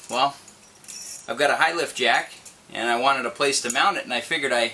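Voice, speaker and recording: Someone with a Minnesotan accent talks at a fairly quick pace over noticeable background noise. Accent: Minnesota. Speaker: Jeep owner. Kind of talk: casual how-to talk to camera.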